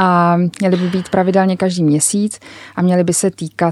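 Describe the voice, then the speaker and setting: In a dry, close recording with no echo, a woman with a plain, everyday voice talks fairly slowly at a fairly low pitch. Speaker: magazine editor-in-chief. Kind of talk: interview. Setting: studio.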